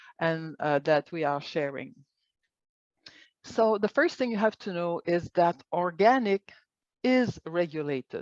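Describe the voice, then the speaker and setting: Against a quiet background, a woman with a Quebec accent speaks at a fairly low pitch and a fairly slow pace, with lively intonation and long, frequent pauses, in a dry sound with no echo. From Quebec, Montreal. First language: French. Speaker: organic agriculture coordinator and biologist; presenter. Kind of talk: online presentation. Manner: halting. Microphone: webcam.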